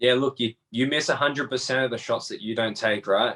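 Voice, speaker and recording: A man talks with an Australian accent. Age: 30s. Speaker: MMA fighter and tattoo artist. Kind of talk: interview. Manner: animated.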